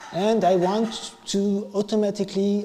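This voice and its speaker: The speaker is a man with a French accent. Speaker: IT engineer / conference speaker. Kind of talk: tech meetup talk. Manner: improvised, halting.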